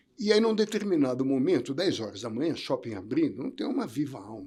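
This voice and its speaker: Vocal fry runs through this man's voice. He moves at a moderate pace with very wide pitch swings. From Brazil, São Paulo. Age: 70s. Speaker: entrepreneur and former tennis coach. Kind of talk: interview conversation. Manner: halting, with repetitions.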